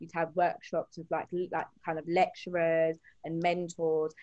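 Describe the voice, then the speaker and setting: A woman with an English accent speaks at a fairly low pitch. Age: 20s. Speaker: HR associate and beauty business owner. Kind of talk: casual interview.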